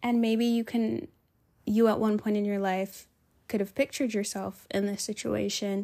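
Pausing long and often, a woman speaks in an animated tone at a fairly high pitch. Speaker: podcast host. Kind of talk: casual solo monologue. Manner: animated, chatty, casual.

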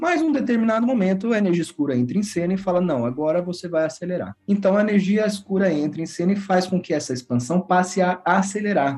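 At a fairly quick pace, a man with a high pitch and a dark, mellow tone uses lively intonation. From Brazil, São Paulo state (São Paulo city and Guaratinguetá). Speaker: physics professor. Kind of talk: interview, explaining science.

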